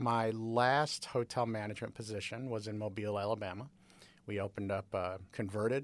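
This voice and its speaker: This is an unremarkable speaking voice with an American accent and fairly even intonation at a moderate pace. The recording is very clean, with a silent background. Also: man. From Chicago area, US Midwest. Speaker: university professor. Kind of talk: interview.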